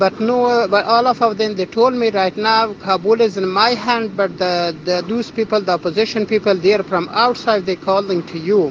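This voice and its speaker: Hardly pausing, a man with an Afghan accent speaks at a moderate pace in a high pitch with fairly even intonation, while noticeable background noise sits behind him. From Afghanistan. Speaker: refugee doctor. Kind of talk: testimony. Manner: halting.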